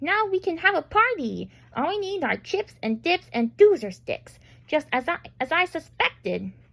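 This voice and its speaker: A squeaky, put-on character voice runs at a moderate pace. The sound is dry and close, with no echo. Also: woman. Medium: read story.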